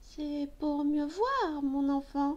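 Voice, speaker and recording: In a put-on character voice, a woman speaks at a high pitch. Light background noise can be heard. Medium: read story. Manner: sly, falsely gentle.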